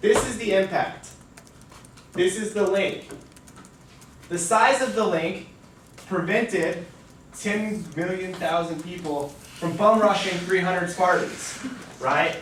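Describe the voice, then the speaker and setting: A man with a high pitch talks loudly at a fairly slow pace with long, frequent pauses, over noticeable background noise and audible room echo. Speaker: debate coach. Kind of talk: lecture. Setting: lecture room. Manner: casual.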